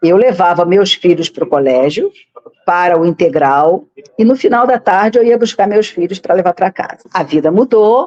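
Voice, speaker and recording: A woman at medium pitch speaks at a moderate pace with lively intonation, the sound dry and close with no echo. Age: 60s. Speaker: political candidate. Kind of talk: interview. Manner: halting, with frequent repetitions.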